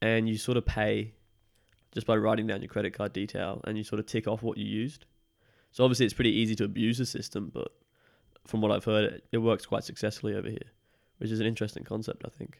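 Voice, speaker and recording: Delivered at a very fast pace yet with long, frequent pauses, the voice stays monotone and flat with vocal fry. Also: man, fairly low pitch for a man. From Brisbane, Australia; born in UK. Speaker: guest, exchange student. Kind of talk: casual chat.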